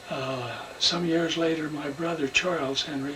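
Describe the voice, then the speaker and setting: There is noticeable background noise as a man with an American accent talks fairly slowly at a fairly high pitch, his intonation monotone and flat. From Idaho, US. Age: 90s. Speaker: retired scout leader recalling his youth. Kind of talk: interview reminiscence. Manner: halting, many fillers.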